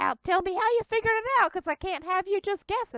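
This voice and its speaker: This is a put-on character voice. It runs at a very fast pace. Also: woman. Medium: actual play. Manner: odd, folksy phrasing.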